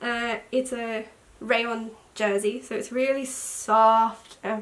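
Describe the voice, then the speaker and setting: With an Australian accent, the voice keeps its intonation fairly even. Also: woman. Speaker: sewing vlogger. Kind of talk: casual talk to camera.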